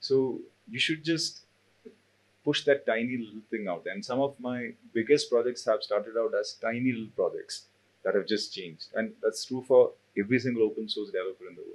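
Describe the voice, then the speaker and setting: Speaking at a fairly quick pace, a man talks in a Keralan accent. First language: Malayalam. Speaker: CTO and open source developer. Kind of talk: panel talk.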